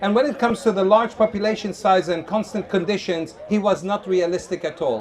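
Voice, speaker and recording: A loud, high-pitched man at a fairly quick pace, ordinary pitch variation, noticeable background noise behind him. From Lebanon. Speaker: street evangelist. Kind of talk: street debate with audience. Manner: animated.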